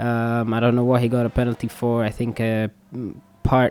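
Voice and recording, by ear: A man's monotone, flat voice with a clear, smooth and slightly mellow tone. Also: medium pitch for a man, moderate pace.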